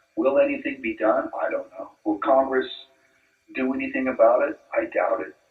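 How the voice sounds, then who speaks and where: A man with an American accent speaks at a moderate pace over music in the background. His loudness swings a lot. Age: 60s. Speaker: convicted spy, interviewee. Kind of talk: interview.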